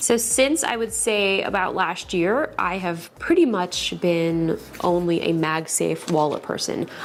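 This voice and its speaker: Noticeable background noise sits under a woman's fairly slow speech. She uses ordinary pitch variation and hardly any pauses. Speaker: tech reviewer. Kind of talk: unboxing video. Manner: animated.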